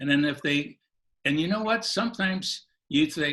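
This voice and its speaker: Speaking at a moderate pace, a man uses lively intonation and a bright, sharp tone at a fairly high pitch. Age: 80s+. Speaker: self-help program creator. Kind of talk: interview. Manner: halting.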